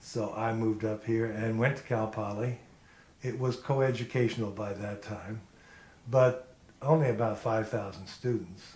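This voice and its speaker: A man with a medium-pitched, somewhat breathy voice speaks at a moderate pace with fairly even intonation. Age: 60s. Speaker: retired apparel worker interviewee. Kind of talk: oral history interview.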